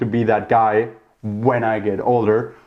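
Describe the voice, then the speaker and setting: A man speaks in a German accent. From Germany. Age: 30s. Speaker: podcast host. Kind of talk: casual monologue. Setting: talking to camera. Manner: talkative, rambling.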